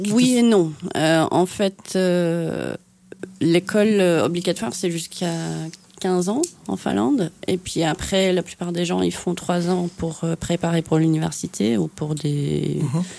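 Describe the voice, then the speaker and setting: Speaking very slowly, a woman uses a fairly low pitch and a dark, mellow tone with ordinary pitch variation. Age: 30s. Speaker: artist and dancer. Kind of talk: radio interview.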